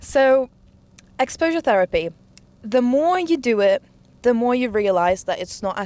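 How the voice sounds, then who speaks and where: A woman with a non-native accent speaks at a fairly slow pace. Her tone is animated, with very wide pitch swings. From immigrant, grew up partly in an English-speaking country. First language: not English. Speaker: podcaster. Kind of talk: casual chat.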